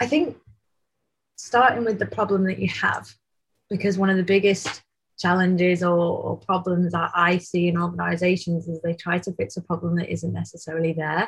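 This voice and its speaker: A somewhat breathy woman with a Mancunian accent. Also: fairly low pitch for a woman, moderate pace. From Manchester, England. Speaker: tech company founder and CEO. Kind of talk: casual interview.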